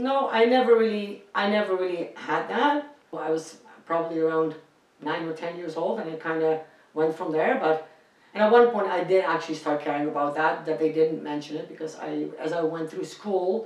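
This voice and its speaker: A woman with a Dutch accent, fairly low in pitch, at a moderate pace with ordinary pitch variation, amid noticeable background noise and audible room echo. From Netherlands. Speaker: singer. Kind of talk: casual interview.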